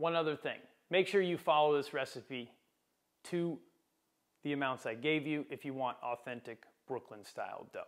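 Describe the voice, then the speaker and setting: A man talks at a moderate pace with ordinary pitch variation. He leaves long, frequent pauses, and the background is quiet. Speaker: home cooking host. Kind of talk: tutorial. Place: kitchen. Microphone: lapel.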